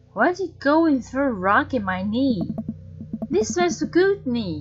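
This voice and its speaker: Music behind a woman's high voice, fairly slow in pace, with very wide pitch swings. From Taiwan. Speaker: gaming streamer. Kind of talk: game stream with reading aloud. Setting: live stream. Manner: halting.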